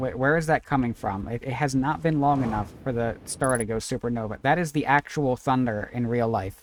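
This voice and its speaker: This man talks at a fairly quick pace with hardly any pauses. His pitch is medium, with ordinary variation. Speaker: streamer playing video games. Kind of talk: live gameplay stream chat. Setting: home during a thunderstorm.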